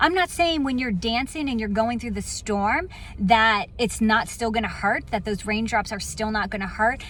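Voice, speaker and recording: Moderately paced, a woman with a fairly high pitch speaks in a plain, everyday voice. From Virginia Beach, US. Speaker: motivational speaker. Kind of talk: inspirational talk. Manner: casual, conversational.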